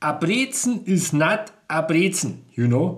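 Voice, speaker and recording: With a Bavarian accent, a man speaks at a high pitch in an enthusiastic tone. His intonation is lively. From Bavaria, Chiemgau. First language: German (Bavarian). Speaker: food video creator. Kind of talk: casual food presentation. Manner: enthusiastic, repetitive; hesitant non-native phrasing.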